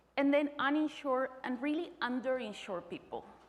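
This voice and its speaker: A woman speaks with a Spanish accent. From Colombia. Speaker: physician. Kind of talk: conference presentation.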